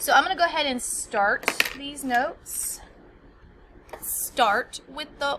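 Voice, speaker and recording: Her intonation is lively and her pitch is high. The woman's voice comes with noticeable background noise. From United States. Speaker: teacher. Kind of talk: tutorial. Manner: casual.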